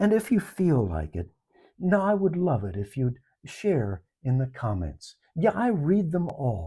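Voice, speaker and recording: Over a silent background in a very clean recording, a man talks at a fairly slow pace in a calm, dark, mellow, somewhat breathy tone, his pitch swinging very widely. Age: 70s. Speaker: life reflection vlogger. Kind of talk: personal reflection monologue.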